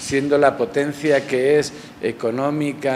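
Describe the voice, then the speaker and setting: A man speaks with a Barcelona accent at a medium pitch. Noticeable background noise sits behind him. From Barcelona, Spain. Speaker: realist painter. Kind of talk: interview answer. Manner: reflective, hesitant.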